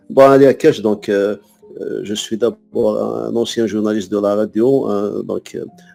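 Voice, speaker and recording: Music playing behind a man's fairly slow speech. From Algeria, Kabylie (Tizi Ouzou). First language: Kabyle (speaking French). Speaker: poet and French teacher. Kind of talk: interview. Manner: halting, many hesitations and repetitions.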